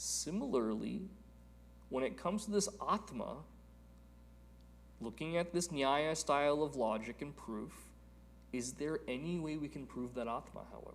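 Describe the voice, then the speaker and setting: Audible room echo surrounds a man's voice. He talks at a moderate pace with long, frequent pauses. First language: Telugu. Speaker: spiritual teacher. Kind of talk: lecture.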